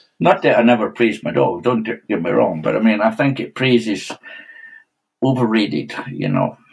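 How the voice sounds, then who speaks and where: Against a quiet background, the speaker talks at a moderate pace in a Scottish accent, with very wide pitch swings. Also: man. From Scotland. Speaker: stock dog trainer. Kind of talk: podcast interview answer. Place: home room. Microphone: webcam.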